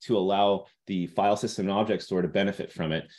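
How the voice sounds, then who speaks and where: A man's fairly low voice comes through over a quiet background. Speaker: tech company engineer presenting product. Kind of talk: webinar product presentation. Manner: fast.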